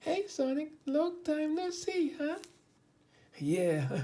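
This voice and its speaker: A put-on character voice, high and squeaky, delivered at a very slow pace. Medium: read story.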